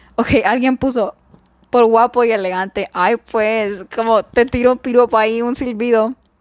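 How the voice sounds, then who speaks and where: A woman with a fairly high pitch talks at a moderate pace, recorded dry and close with no echo. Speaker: podcast host. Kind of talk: casual solo chat. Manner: halting, with pauses.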